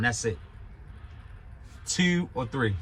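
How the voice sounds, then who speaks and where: A man with a Baltimore accent and a bright, sharp tone. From Baltimore, Maryland. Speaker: YouTuber reviewing his truck driving school. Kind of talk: casual monologue review. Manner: animated.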